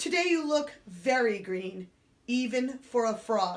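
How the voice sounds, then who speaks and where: This is a put-on character voice delivered at a fairly slow pace. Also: woman, fairly high pitch for a woman. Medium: read story.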